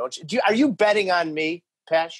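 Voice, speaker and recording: A man with a high pitch speaks at a moderate pace, animated in tone and with lively intonation. The background is quiet. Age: 40s. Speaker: hockey broadcaster and podcast host. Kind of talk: casual interview chat. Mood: joking, playful. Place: home room. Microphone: video call.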